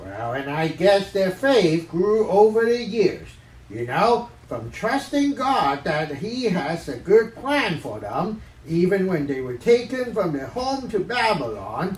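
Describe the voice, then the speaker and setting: A cartoonish character voice sits at a middle pitch with very wide pitch swings and a fairly slow pace. Light background noise can be heard. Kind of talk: children's Sunday worship puppet show. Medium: puppet.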